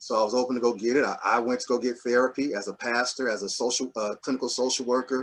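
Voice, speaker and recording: Barely pausing, a man rattles on very fast at medium pitch with monotone, flat intonation. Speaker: pastor and clinical social worker. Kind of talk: panel discussion. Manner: halting, many fillers and restarts.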